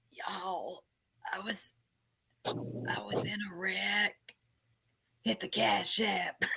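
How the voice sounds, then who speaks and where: A raspy, put-on character voice at middle pitch, with lively intonation, a very slow pace and long, frequent pauses. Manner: mock-pleading for money.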